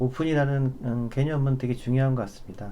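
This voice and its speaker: With a dark, mellow tone and a medium pitch, a man speaks in fairly even intonation. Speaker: data architect presenting a webinar. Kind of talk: webinar presentation with demo. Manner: many filler hesitations.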